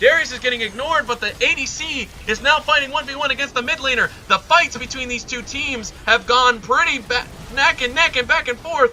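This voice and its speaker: Over noticeable background noise, a man speaks in a raised, projected voice at an extremely high pitch, moving at a fairly quick pace with ordinary pitch variation. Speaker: esports caster. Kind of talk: live commentary. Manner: animated.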